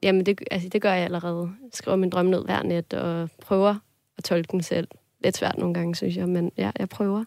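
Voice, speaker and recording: The sound is dry and close with no echo as a woman with a normal speaking voice talks at a moderate pace, fairly low in pitch, with fairly even intonation. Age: 20s. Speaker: student, listener sharing a dream. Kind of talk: casual interview conversation. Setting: studio.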